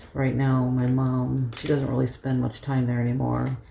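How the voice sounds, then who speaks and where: Over noticeable background noise, a soft-spoken man talks at a moderate pace and medium pitch. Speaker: lifestyle vlogger. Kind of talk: casual vlog talk. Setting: at home.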